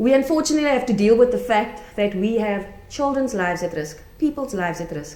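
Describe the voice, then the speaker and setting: A woman at a fairly quick pace with lively intonation, amid audible room echo and noticeable background noise. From South Africa. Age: 40s. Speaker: conference speaker, chaplain and cybersecurity student. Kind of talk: conference talk. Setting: conference room with audience.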